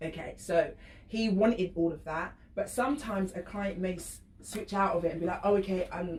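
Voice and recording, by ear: A woman talks at a moderate pace in a fairly low pitch. Her tone is slightly mellow, with ordinary pitch variation.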